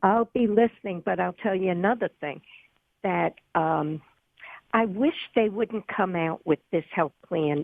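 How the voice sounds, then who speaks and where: The speaker uses lively intonation with a New York accent. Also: woman. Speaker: radio caller. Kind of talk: call-in radio talk. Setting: phone call.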